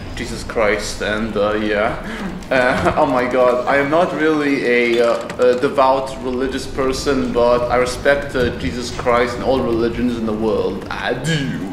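Speaking at a fairly slow pace with ordinary pitch variation, a man is heard over noticeable background noise. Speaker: gameplay commentator. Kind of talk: casual let's play commentary. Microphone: earbuds.

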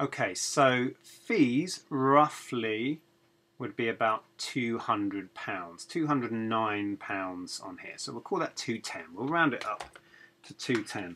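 A man talks slowly at a medium pitch, with lively intonation. His tone is bright and sharp, with a slightly husky edge.

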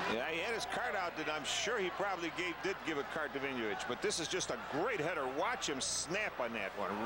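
Noticeable background noise sits behind a man with a high voice. He talks at a fairly quick pace, and his pitch swings very widely. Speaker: color commentator, soccer analyst. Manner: conversational, animated.

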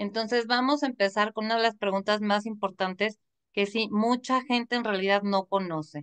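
A woman's plain, everyday voice, fairly high in pitch, at a moderate pace with fairly even intonation over a quiet background. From Mexico. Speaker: online show host. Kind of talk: interview. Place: home room. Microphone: video call.

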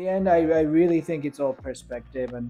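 A man with a Japanese accent at a moderate pace, ordinary pitch variation, faint music in the background. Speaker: artist. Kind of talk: interview answer. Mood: calm, reflective. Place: workshop.

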